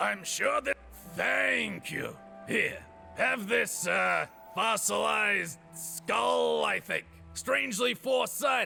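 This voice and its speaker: A man uses a put-on character voice that sounds raspy. He speaks at a very slow pace, with clear music in the background. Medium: video game. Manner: rambling, distracted.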